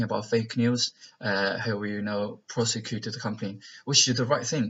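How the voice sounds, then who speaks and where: Speaking in a Chinese accent, a man keeps a medium pitch and a moderate pace with monotone, flat intonation. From China. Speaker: vlogger. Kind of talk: casual monologue vlog. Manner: halting, many fillers.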